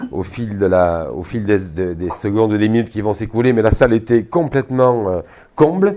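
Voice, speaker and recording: A man's dark, mellow tone at a fairly low pitch, with ordinary pitch variation and a moderate pace, on a very clean recording with a silent background. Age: 60s. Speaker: energy therapist giving a talk. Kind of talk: talk to an audience. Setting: hall at a trade fair with audience. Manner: hesitant, many fillers.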